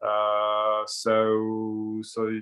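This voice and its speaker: At medium pitch, a man talks in a French accent. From France. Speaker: spiritual discussion guest. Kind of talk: casual chat. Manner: halting, many repetitions.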